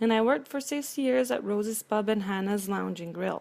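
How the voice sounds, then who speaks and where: With a Romanian accent, a woman speaks at a moderate pace in a dark, mellow tone at a fairly high pitch. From Romania, Transylvania. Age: 50s. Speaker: cleaning business owner. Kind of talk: prepared personal speech.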